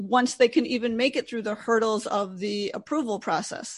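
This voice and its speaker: Against a quiet background, a woman with an ordinary speaking voice talks at a fairly high pitch with ordinary pitch variation. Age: 50s. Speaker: investor and wealth coach. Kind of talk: interview.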